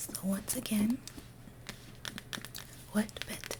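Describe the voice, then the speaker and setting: Noticeable background noise sits under the clip. A whispering voice goes at a very slow pace. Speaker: ASMR creator. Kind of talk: bedtime story reading. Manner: soft-spoken.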